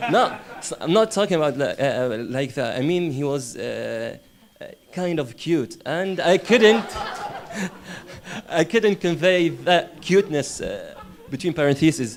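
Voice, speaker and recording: A man speaks fairly slowly in a high pitch with lively intonation and long, frequent pauses. Noticeable background noise runs underneath. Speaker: interpreting student. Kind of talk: classroom discussion. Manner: halting.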